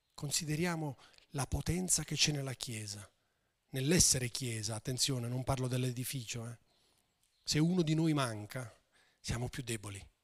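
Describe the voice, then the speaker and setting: Pausing long and often, a man speaks in a somewhat breathy voice at a medium pitch and moderate pace, with ordinary pitch variation. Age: 50s. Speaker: pastor. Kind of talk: sermon.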